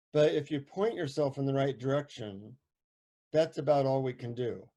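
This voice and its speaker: With an American accent, a man speaks in a dark, mellow tone at a fairly high pitch, with ordinary pitch variation and a moderate pace. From United States. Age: 60s. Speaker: psychotherapist and author. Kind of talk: talk before a guided meditation. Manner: casual, with many fillers.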